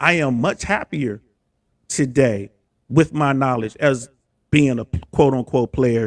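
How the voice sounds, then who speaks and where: With an American accent, a man speaks at a fairly slow pace and medium pitch, his ordinary pitch variation caught in a dry, close sound with no echo. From USA. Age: 50s. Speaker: army veteran and relationship commentator. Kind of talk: casual chat. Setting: live stream.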